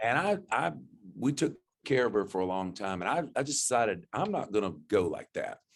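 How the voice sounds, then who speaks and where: Very wide pitch swings run through the speech. The pace is fairly quick, with a Florida panhandle accent. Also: man, medium pitch for a man. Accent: Southern US (Florida panhandle). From Florida panhandle, US South. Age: 60s. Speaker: country singer-songwriter. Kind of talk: interview. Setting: studio. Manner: halting, with frequent false starts.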